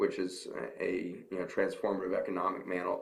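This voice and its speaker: A man with an American accent talks at a fairly quick pace, with audible room echo around his voice. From United States. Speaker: physician and health lecturer. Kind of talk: conference Q&A. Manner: monotone.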